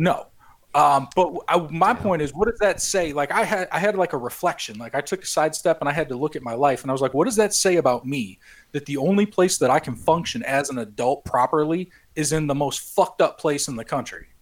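Here is a man with an American accent and an ordinary speaking voice. He talks fairly quickly, at a fairly high pitch, with lively intonation. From Chicago. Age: 30s. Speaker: podcast host. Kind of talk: casual chat.

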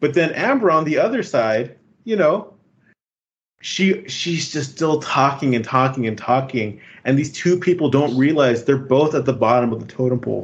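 A man with a fairly high pitch talks at a moderate pace, somewhat breathy, with lively intonation. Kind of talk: casual chat. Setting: video call.

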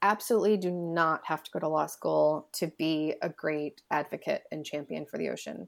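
A plain, everyday voice speaks with an American accent at a moderate pace. Pitch varies in an ordinary way. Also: woman. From US Midwest, Illinois. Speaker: ocean policy lawyer. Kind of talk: interview.

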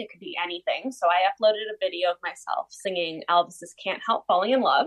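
A woman speaks with a Canadian accent at a medium pitch. Hers is a plain, everyday voice. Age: young. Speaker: country-pop singer. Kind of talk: casual interview.

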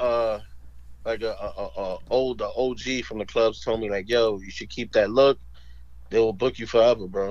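Speaking at a moderate pace in a New York accent, a man's voice takes big swings in loudness. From New York, Spanish Harlem. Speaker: comedy video creator and club host. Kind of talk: casual interview. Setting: phone call.

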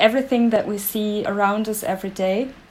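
In a German accent, a woman talks at a fairly high pitch. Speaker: language researcher. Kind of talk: interview.

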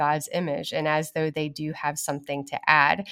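A woman uses an ordinary speaking voice with a fairly low pitch and fairly even intonation. The recording is very clean, with a silent background. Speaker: pastor and podcast co-host. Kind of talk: casual interview conversation.

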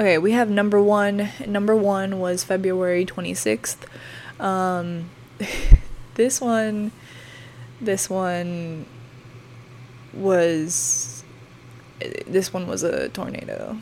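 A woman with a medium pitch speaks at a very slow pace, with long, frequent pauses and ordinary pitch variation. Noticeable background noise runs underneath. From northwestern Oklahoma. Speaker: podcast host and meteorology student. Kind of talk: casual storytelling monologue. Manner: hesitant, many fillers.

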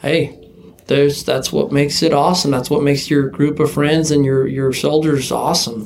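A man with a plain, everyday voice talks at a moderate pace, fairly high in pitch, with fairly even intonation. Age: 30s. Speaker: sunglasses company founder and former rodeo team roper. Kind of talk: casual chat.

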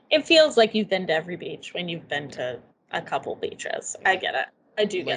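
The speaker has a Midwestern accent and a fairly quick pace. Loudness swings widely throughout. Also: woman. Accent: general Midwestern American. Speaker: podcast co-host. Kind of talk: casual chat. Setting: video call.

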